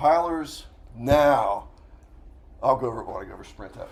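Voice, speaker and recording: Fairly quick speech from a man amid audible room echo. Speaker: university professor. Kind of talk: lecture.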